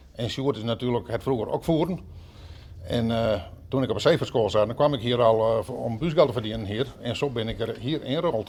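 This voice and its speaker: At a fairly quick pace, a man with an ordinary speaking voice talks at a medium pitch with ordinary pitch variation. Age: 60s. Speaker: museum volunteer, former ship engineer. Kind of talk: interview.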